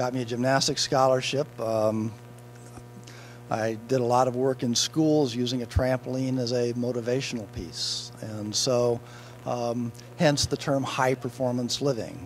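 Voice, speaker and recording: At a moderate pace and with fairly even intonation, a man talks in an unremarkable speaking voice. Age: 60s. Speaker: motivational speaker and author. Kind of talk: interview. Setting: event blue carpet.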